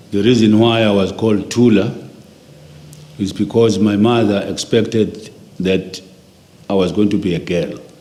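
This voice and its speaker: Delivered at a moderate pace with fairly even intonation, the speech has long, frequent pauses and audible room echo. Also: man, fairly low pitch for a man. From South Africa, KwaZulu-Natal (Inanda near Durban). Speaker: interviewee recounting life story. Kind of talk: oral history interview.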